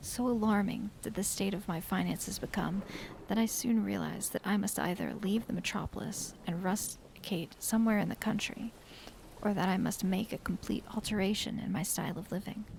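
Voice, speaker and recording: Soft-spoken, a woman talks at a fairly quick pace in a medium pitch, her intonation fairly even. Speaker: vtuber streamer. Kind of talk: ASMR book reading.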